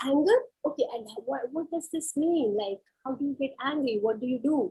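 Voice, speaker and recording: A woman's high-pitched voice with a dark, mellow tone at a moderate pace. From India. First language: Kashmiri. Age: 30s. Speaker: psychologist. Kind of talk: career talk.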